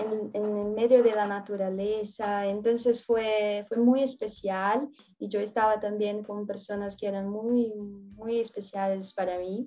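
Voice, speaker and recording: Very slowly yet with hardly any pauses, a woman speaks in a dark, mellow, monotone voice with a Portuguese accent. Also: medium pitch for a woman. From Brazil, São Paulo. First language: Portuguese (speaking Spanish). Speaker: former exchange student, researcher. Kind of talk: casual interview. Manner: halting.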